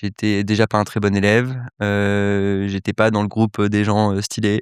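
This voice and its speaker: A man speaks fairly slowly in a fairly low pitch. His intonation is monotone and flat, and his loudness stays very even. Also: dry, close sound with no echo. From Paris, France (early childhood near Cannes/Nice). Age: 20s. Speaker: entrepreneur, accelerator founder. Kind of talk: podcast interview. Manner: hesitant, many fillers.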